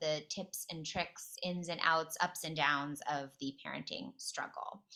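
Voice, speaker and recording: Speaking fairly slowly, a woman with a New York accent has a bright, sharp tone. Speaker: event host for a parenting platform. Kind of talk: webinar hosting.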